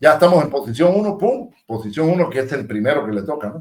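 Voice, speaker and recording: Animated in tone, a man speaks at a fairly high pitch. His pitch swings very widely. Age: 60s. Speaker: aviation technician and show co-host. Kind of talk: casual chat.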